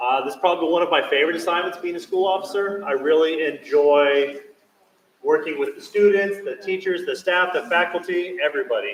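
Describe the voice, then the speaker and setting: Loud and high-pitched, a man talks at a fairly quick pace with ordinary pitch variation. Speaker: police school officer. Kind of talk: presentation to parents. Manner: loud, projecting.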